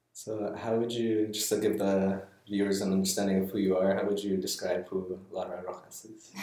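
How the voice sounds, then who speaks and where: A man talks fairly quickly in a monotone, flat intonation at a fairly low pitch, with noticeable background noise behind him. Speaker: podcast host. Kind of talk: casual interview.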